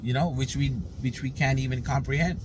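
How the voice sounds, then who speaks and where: A fairly high-pitched man speaks amid noticeable background noise and audible room echo. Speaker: spiritual teacher. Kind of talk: casual spiritual talk.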